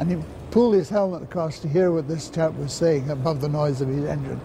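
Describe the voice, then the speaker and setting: A man at a moderate pace, with light background noise. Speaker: former naval pilot. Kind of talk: recorded interview recollection. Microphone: lapel.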